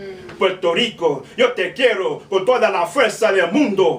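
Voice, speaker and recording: An American-accented man with a high pitch at a moderate pace, noticeable background noise behind him. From New York City. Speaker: spoken word poet. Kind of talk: spoken word poetry performance. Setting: live bar open mic.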